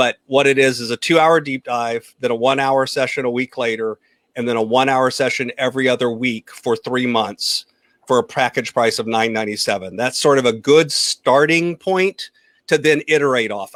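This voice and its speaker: This is a man with a medium pitch and ordinary pitch variation. The sound is dry and close, with no echo. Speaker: financial coach. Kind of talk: live Q&A chat. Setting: livestream video call. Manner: fast.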